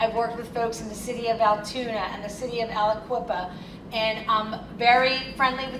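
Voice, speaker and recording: A woman with an American accent speaks at a moderate pace. Her pitch is fairly high, and audible room echo is present. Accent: Philadelphia accent, stronger when excited. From Philadelphia. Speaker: consultant and attorney, keynote speaker. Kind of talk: keynote speech. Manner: animated.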